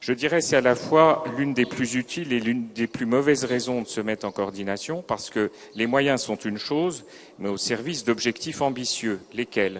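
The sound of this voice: Ordinary pitch variation comes at a moderate pace throughout. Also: man, medium pitch for a man.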